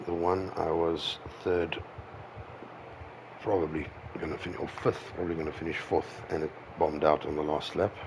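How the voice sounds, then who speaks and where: With music in the background, a man speaks in a very deep, low pitch and a monotone, flat intonation. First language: not English. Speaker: sim racing streamer. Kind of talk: casual livestream chat while gaming. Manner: halting.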